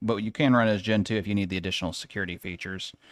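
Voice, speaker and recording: Fairly quick and fairly low-pitched, a man speaks in a very clean recording with a silent background. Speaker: IT tech streamer. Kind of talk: live tutorial. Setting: live stream with screen share. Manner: fast.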